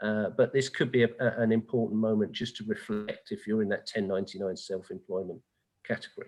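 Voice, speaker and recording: A man with a British accent, fairly quick, with fairly even intonation. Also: medium pitch for a man. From England. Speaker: tax advisor. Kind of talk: webinar Q&A.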